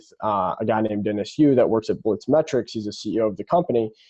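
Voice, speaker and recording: Very fast, a man with an American accent talks at a medium pitch. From US Midwest, Indianapolis, Indiana. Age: 20s. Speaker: young entrepreneur. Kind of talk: podcast interview. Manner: fast, filler-heavy.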